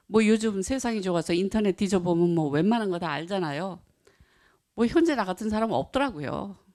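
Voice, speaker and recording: A woman speaks with a dark, mellow tone and lively intonation. The recording is very clean, with a silent background. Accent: non-native. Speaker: Buddhist author and practitioner. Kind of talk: talk to an audience. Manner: halting.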